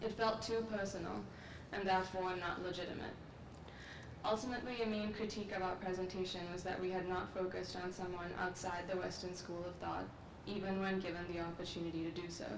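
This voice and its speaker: Amid noticeable background noise and audible room echo, a woman talks at a very fast pace with a medium pitch and monotone, flat intonation. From Sri Lanka. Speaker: graduate student. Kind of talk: commencement speech. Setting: outdoor ceremony with audience. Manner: formal.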